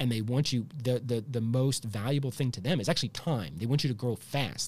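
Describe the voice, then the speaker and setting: On a very clean recording with a silent background, a man speaks at a medium pitch in a somewhat breathy voice. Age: 40s. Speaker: healthcare entrepreneur. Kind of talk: interview conversation.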